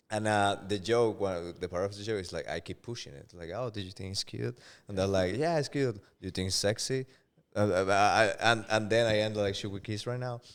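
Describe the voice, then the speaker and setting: On a very clean recording with a silent background, a man with a Spanish accent talks at a fairly quick pace in a fairly low voice with ordinary pitch variation. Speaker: stand-up comedian. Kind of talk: casual podcast chat. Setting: podcast studio. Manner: halting, repeats words.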